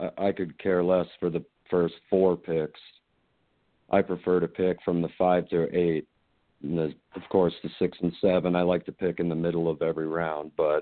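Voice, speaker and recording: Speaking in an American accent, a man has a very deep, low pitch. His delivery is monotone and flat at a moderate pace. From Colorado. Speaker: fantasy football player, plumbing contractor. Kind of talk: casual interview. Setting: remote call.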